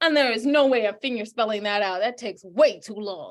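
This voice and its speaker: The woman's delivery has an animated tone. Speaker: podcast host. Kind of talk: casual chat.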